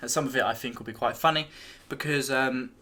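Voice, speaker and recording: A man's bright, sharp voice with an English accent. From England. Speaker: YouTube reaction video creator. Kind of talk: casual video reaction commentary.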